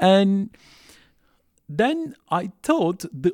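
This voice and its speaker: A man's lively intonation, with a dry, close sound and no echo, on a very clean recording over a silent background. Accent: Turkish. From Turkey (Istanbul). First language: Turkish. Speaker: refugee services worker and theology student. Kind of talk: interview testimony. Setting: classroom.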